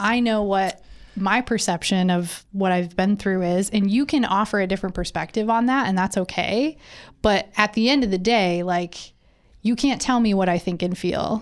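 In a very clean recording with a silent background, a woman speaks at medium pitch and a moderate pace. Her loudness stays very even, and her pitch variation is ordinary. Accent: Michigan. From rural central Michigan. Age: 30s. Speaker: podcast co-host. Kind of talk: casual chat.

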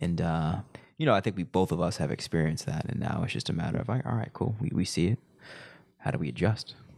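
A man's very deep, low voice with vocal fry and very wide pitch swings at a very fast pace. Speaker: podcast host. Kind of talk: casual chat.

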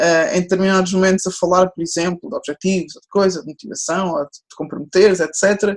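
At a fairly quick pace with hardly any pauses, a woman speaks at medium pitch with fairly even intonation and big swings in loudness, in a dry, close sound with no echo. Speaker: sports psychologist. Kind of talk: interview. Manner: fast.

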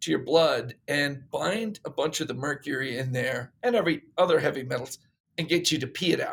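An American-accented man talks in a normal speaking voice with a fairly high pitch. His pace is moderate and his pitch variation ordinary. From Pennsylvania, US (Bethlehem). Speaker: chemist and supplement company founder. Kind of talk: interview.

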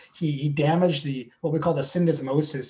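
Noticeable background noise sits behind a man who speaks with an American accent in a monotone, flat intonation. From Southern California. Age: 50s. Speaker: athletic trainer. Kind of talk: interview.

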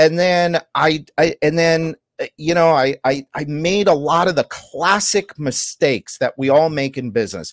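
In a plain, everyday voice, the speaker goes at a fairly slow pace with hardly any pauses and ordinary pitch variation, in a dry, close sound with no echo. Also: man, fairly high pitch for a man. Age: 50s. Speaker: contractor business coach and podcaster. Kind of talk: interview.

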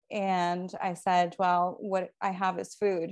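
Speaking in a Puerto Rican accent, a woman uses a medium pitch and fairly even intonation. Her pace is very slow against a quiet background. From Puerto Rico. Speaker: mutual aid organizer. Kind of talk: interview.

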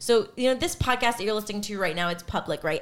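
With lively intonation, the speaker uses a plain, everyday voice. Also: woman. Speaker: podcast co-host. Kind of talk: casual banter.

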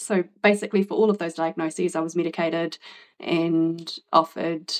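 Here a woman talks at a moderate pace with a New Zealand accent. Her intonation is fairly even. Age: 40s. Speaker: podcast guest with ADHD. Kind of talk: interview testimony.

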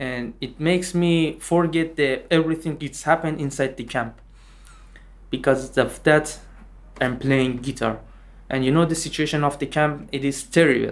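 The man speaks in a Persian accent with fairly even intonation. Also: fairly high pitch for a man, moderate pace. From Iran. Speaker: refugee musician. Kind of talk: interview.

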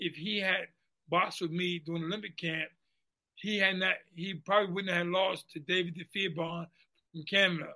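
Speaking fairly quickly in an American accent, a man has a high pitch, a bright, sharp tone and monotone, flat intonation. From Washington, D.C. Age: 50s. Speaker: former boxer. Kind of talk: interview. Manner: halting, repetitive stammer.

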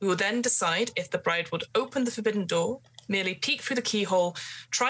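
In an unforced reading voice, the speaker's pitch shows ordinary variation.

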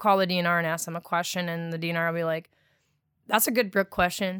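With an Upper Midwest accent, a woman speaks at a fairly low pitch in a monotone, flat intonation on a very clean recording with a silent background. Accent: Upper Midwest (Wisconsin). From Wisconsin, US Midwest. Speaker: wastewater treatment operator. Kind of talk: casual chat. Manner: loud, not soft-spoken.

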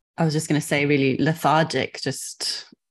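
Against a quiet background, a woman speaks at a moderate pace with a very deep, low pitch, vocal fry and monotone, flat intonation. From Zambia. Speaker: guest, friend of host. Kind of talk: casual conversation.

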